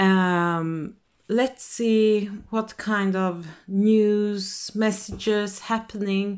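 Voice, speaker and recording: A woman speaks with a non-native accent at a medium pitch. Her delivery is very slow, with a monotone, flat intonation. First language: not English. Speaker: tarot reader. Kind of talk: tarot reading to camera. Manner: halting, many fillers; casual, relaxed.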